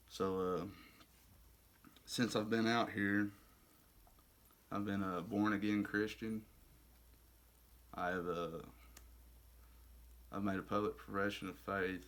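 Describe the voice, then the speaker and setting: With an Arkansas accent, a fairly low-pitched man speaks fairly slowly with ordinary pitch variation and long, frequent pauses. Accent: Southern US (Arkansas). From US South, Arkansas. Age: 20s. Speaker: recovering addict in a faith-based rehab program. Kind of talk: testimony. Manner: halting, many fillers.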